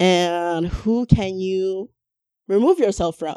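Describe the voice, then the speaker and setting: A woman speaks in a medium pitch with a dark, mellow tone and ordinary pitch variation. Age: 30s. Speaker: massage therapist. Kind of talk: casual chat. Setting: studio.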